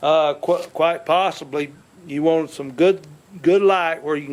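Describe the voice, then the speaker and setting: At a moderate pace, a man with a Southern US accent talks at a fairly high pitch with ordinary pitch variation. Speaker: YouTuber doing home repairs. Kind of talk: tutorial with casual chat. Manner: halting, with restarts.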